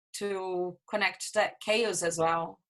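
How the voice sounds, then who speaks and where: A woman with a bright, sharp tone speaks at a very slow pace. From Brazil. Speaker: theatre photographer. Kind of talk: podcast interview. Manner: halting.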